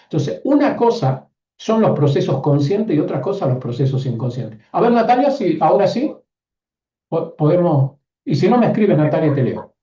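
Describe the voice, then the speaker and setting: Music plays in the background as a man speaks at a moderate pace. His pitch is high, with very wide swings. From northern Argentina, Catamarca. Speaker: online course teacher, systemic coach. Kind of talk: live online class.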